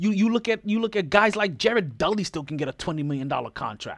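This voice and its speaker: Animated in tone, the voice has lively intonation and a dry, close sound with no echo. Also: man. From Jamaican heritage. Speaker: sports podcast host. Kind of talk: solo sports commentary podcast. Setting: home recording late at night.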